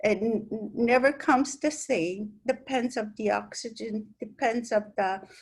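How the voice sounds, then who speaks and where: A somewhat breathy woman talks at a fairly slow pace with hardly any pauses. Her pitch variation is ordinary. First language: Italian. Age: old. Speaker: sculptor. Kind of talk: interview. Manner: halting, with many fillers and repetitions.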